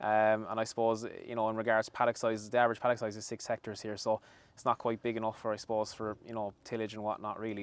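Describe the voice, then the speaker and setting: In a West Cork accent, a man speaks at a very fast pace in a fairly low pitch, monotone and flat in intonation, on a very clean recording with a silent background. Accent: Irish (West Cork). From Ireland, West Cork (Skibbereen). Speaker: dairy farm manager. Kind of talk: on-site interview. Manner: hesitant, many fillers.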